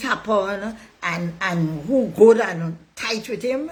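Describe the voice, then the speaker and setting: Her intonation is lively and her tone animated. The woman's voice is somewhat breathy. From Tobago. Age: 60s. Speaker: political commentator. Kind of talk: online monologue.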